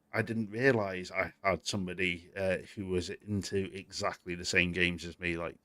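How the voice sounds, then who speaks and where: A fairly low-pitched man's voice with a British accent, fairly even intonation, and a dry, close sound with no echo. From Britain. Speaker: gaming news show host. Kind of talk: live stream chat. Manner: casual, conversational.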